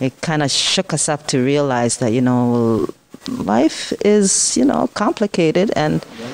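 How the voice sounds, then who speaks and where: A woman speaks at a moderate pace with a very deep, low pitch. Her pitch swings very widely, broken by long, frequent pauses. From Ghana. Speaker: cosmetics business owner. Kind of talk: interview answer. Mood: calm, reflective. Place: cafe. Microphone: handheld.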